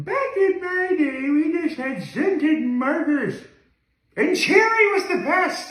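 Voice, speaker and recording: An extremely high, put-on character voice at a fairly slow pace, with slight echo. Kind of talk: reminiscing, 'back in my day' style.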